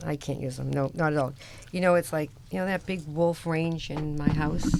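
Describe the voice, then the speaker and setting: Moderate-paced speech with a Boston accent, over noticeable background noise. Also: woman, very deep, low pitch for a woman. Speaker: radio host, construction company owner. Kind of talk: casual radio chat. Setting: radio studio. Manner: animated.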